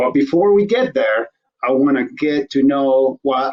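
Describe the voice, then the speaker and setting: The speaker has a non-native accent and a fairly slow pace. Pitch varies in an ordinary way. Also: man. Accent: foreign. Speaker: talk show host. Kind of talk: casual interview.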